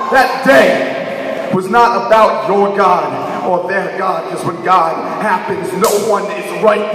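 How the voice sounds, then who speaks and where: A man with an American accent at a high pitch, very slow pace and ordinary pitch variation, amid noticeable background noise. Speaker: slam poet. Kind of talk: slam poetry performance. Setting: live stage with audience.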